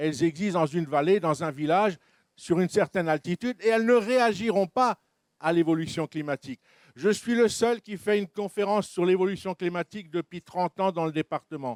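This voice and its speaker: A man's high-pitched voice, dry and close with no echo, in a very clean recording over a silent background. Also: ordinary pitch variation, fairly quick pace. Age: 60s. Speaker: naturalist and lecturer. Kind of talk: panel discussion. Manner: animated.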